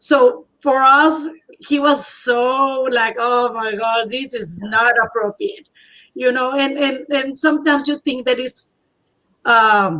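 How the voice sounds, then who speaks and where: At a very slow pace, a woman with a Spanish accent projects a raised, high-pitched voice with a bright, sharp tone and ordinary pitch variation. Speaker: bilingual teacher. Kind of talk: casual conversation, personal testimony. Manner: halting.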